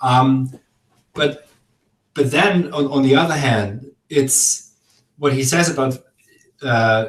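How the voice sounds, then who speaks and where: A man with a German accent and a medium pitch speaks somewhat breathily at a very slow pace, leaving long, frequent pauses. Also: ordinary pitch variation. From Germany, Augsburg, Bavaria. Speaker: philosopher. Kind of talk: casual chat. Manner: halting.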